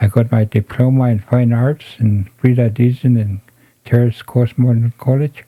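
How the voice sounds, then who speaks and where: Here a man of medium pitch speaks at a moderate pace in a dark, mellow tone. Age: 70s. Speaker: elder, residential school survivor. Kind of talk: interview, personal testimony.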